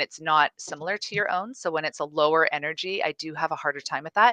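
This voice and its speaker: Very fast and with a slight Canadian accent, a woman speaks in a fairly low yet bright, sharp voice with fairly even intonation and a dry, close sound with no echo. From Canada. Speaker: guest speaker on communication. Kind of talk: live stream interview. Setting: live stream.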